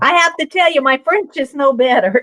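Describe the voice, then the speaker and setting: A woman with a Midwestern accent speaks in a raised, projected voice, her tone animated and bright, sharp. The sound is dry and close, with no echo. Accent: US Midwest. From Nebraska, US Midwest. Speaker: crafter, video co-host. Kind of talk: casual chat. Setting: video call.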